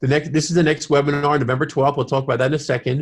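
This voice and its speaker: Against a quiet background, a man speaks with a somewhat breathy voice at a fairly high pitch. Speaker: webinar host for a science education campaign. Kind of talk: webinar presentation. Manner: halting.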